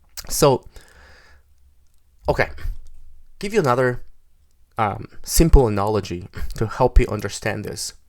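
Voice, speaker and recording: With a Korean accent, a man speaks at a moderate pace and medium pitch with ordinary pitch variation, big swings in loudness, and long, frequent pauses. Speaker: software developer. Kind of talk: tutorial. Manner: halting.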